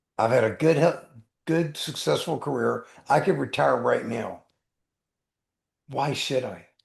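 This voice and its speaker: A man's fairly slow speech, broken by long, frequent pauses. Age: 60s. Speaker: attorney and life coach. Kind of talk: podcast interview. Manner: animated.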